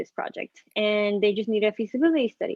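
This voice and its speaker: Heard with a dry, close sound and no echo, a woman with an ordinary speaking voice talks at a moderate pace, her fairly high pitch varying in an ordinary way. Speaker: architectural designer. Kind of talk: interview.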